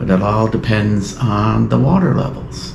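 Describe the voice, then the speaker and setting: A man's fairly low, relaxed voice at a very slow pace, with audible room echo and noticeable background noise. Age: 60s. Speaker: outdoor vlogger. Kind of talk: casual vlog talk to camera. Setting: outdoors on a trail. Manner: relaxed, hesitant with fillers.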